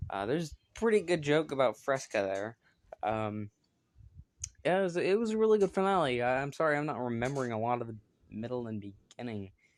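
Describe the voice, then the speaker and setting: A man mumbles at a fairly quick pace, his medium pitch swinging very widely. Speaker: YouTuber reviewing TV shows. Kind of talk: casual solo video review. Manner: mumbling; hesitant, many filler words.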